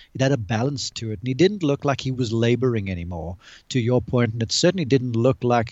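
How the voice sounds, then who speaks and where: A man's ordinary speaking voice, wait—an ordinary speaking voice at a medium pitch, with lively intonation and a fairly quick pace. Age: 40s. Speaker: golf analyst and college golf coach. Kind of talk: casual chat. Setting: video call.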